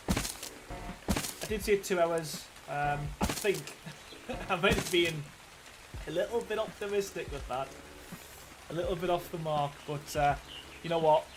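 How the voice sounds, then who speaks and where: With noticeable background noise behind him, a high-pitched man speaks at a fairly slow pace, showing ordinary pitch variation and long, frequent pauses. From northeast England. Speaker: gaming streamer. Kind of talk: casual live stream chat.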